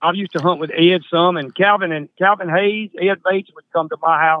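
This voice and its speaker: A man with a Southern US accent speaks at a moderate pace with fairly even intonation. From Mississippi. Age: 70s. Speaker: coon hunter. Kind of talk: casual chat.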